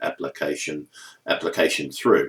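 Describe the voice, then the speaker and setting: The speaker is a man. He has an Australian accent. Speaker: vlogger with a neurological disorder. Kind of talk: personal video update. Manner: halting, heavy repetitions.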